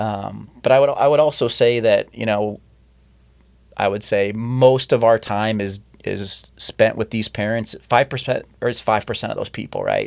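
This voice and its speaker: A moderate pace with a Midwestern US accent. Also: man. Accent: US Midwest. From small-town Iowa, Decorah. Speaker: soccer club director and coach. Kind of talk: casual chat. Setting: studio.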